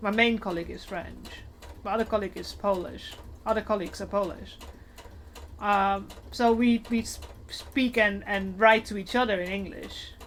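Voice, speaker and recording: Her voice has vocal fry and a medium pitch, with monotone, flat intonation at a moderate pace. There are big swings in loudness and long, frequent pauses in this woman's speech. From Netherlands. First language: Dutch. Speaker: cosplayer streamer. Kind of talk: casual chat. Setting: live stream.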